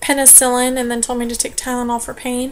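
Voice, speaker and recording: A woman speaks with a high pitch. There is noticeable background noise. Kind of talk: casual vlog talk to camera.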